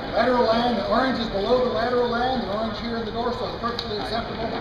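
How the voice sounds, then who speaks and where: Speaking at a very fast pace, a man is heard with audible room echo and loud background noise. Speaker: auctioneer. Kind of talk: announcements to an auction crowd. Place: hall. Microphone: camera far.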